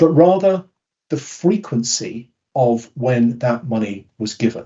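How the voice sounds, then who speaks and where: Speaking very slowly, a man with a British accent uses a medium pitch and lively intonation. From Britain. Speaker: behavioural science speaker. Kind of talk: webinar talk. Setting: webinar.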